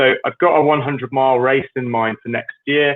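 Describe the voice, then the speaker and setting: In a British accent, a man speaks at a fairly quick pace. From Britain. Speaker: fitness coach. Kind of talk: solo livestream talk.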